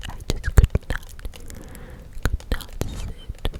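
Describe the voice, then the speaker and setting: A whispered voice comes through noticeable background noise. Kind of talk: casual personal anecdote.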